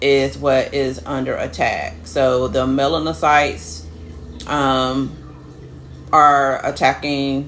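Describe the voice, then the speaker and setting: A woman talks at a very slow pace, her pitch very deep and low, with very wide swings. There is noticeable background noise. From United States. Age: 40s. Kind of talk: personal health vlog, casual talk to camera.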